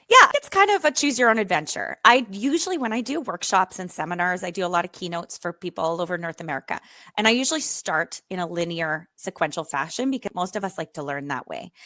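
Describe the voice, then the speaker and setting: Very fast and with hardly any pauses, a woman with a Canadian accent speaks at a medium pitch with lively intonation, in a very clean recording with a silent background and a dry, close sound with no echo. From Canada, small island. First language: French. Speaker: educator and author. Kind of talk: podcast interview.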